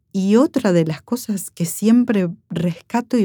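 A woman's dark, mellow tone at a very slow pace, with ordinary pitch variation. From Argentina, Córdoba (Villa María). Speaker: nurse and war veteran. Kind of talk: testimony.

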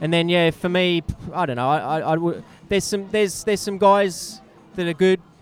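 Fairly quick and high-pitched, a man talks with ordinary pitch variation amid noticeable background noise. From Australia. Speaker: bike courier and cyclist. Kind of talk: casual chat.

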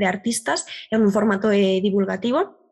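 This woman's voice sits at a medium pitch. She keeps a moderate pace and fairly even intonation. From Galicia, Spain. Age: 20s. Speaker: art history communicator and student. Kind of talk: casual interview chat. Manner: halting, repeats words.

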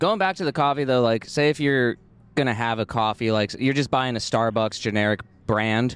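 A man speaks in an unremarkable speaking voice at medium pitch with ordinary pitch variation. His loudness stays very even. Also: moderate pace. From Oregon. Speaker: podcast co-host. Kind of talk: casual chat. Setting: outdoors at a coffee shop courtyard.

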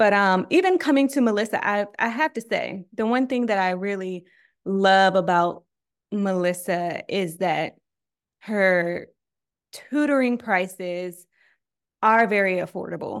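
On a very clean recording with a silent background, a woman at a medium pitch speaks fairly slowly with ordinary pitch variation and long, frequent pauses. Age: 30s. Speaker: documentary TV producer. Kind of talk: podcast interview.

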